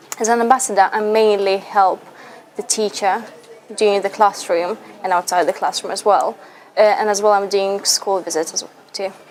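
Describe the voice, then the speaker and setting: Her intonation fairly even, a woman talks against noticeable background noise. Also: medium pitch for a woman, moderate pace. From Lithuania. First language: Russian. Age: 20s. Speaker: university student, language ambassador. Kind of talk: interview answers.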